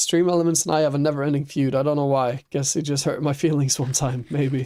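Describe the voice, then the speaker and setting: In a German accent, a man talks very fast at a fairly high pitch, with a dark, mellow tone and very even loudness. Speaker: streamer. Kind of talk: casual chat while gaming live. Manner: animated.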